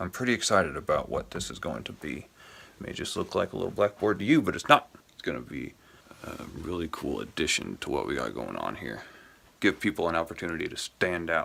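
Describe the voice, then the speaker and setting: With an American accent, a man with a very deep, low pitch and vocal fry speaks in a bright, sharp tone with very wide pitch swings. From US Midwest. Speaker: musician and video creator. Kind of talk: casual vlog studio tour. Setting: home recording studio. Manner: casual, rambling with self-corrections.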